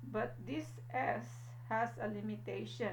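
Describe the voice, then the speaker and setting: A woman's very deep, low voice with audible room echo and noticeable background noise. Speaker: math teacher. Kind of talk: lecture. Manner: slow; frequent fillers like okay and uh.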